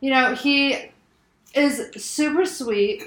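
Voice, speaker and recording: This woman's voice is raised and projected. It has a bright, sharp tone. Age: 20s. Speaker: podcast host. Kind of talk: casual chat.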